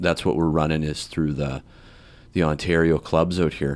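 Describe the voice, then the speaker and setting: A man speaks with a western Canadian accent at a very deep, low pitch and a moderate pace. His intonation stays fairly even, and the recording is very clean with a silent background. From western Canada (Alberta, British Columbia). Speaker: comedian. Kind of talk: casual podcast interview.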